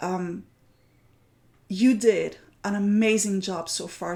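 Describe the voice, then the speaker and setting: A loud woman's voice at medium pitch, dark and mellow in tone. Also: very clean recording, silent background. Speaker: art journaling teacher hosting a weekly challenge. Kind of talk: livestream chat.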